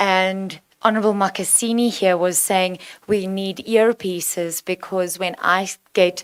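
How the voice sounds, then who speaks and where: Speaking with a South African accent, a woman keeps a moderate pace. Her medium-pitched voice has monotone, flat intonation. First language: Afrikaans. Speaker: provincial legislator. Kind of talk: committee meeting question.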